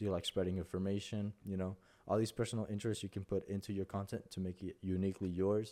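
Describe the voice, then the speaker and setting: A man with a Spanish accent talks very fast at a fairly low pitch, his tone dark and mellow and his intonation monotone and flat. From Mexico. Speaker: content creator. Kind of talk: tutorial. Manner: halting.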